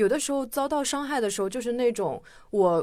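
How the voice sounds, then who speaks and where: Over a silent background in a very clean recording, a woman with a fairly high voice talks fairly quickly, her pitch swinging very widely. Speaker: podcast guest host. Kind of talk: casual chat.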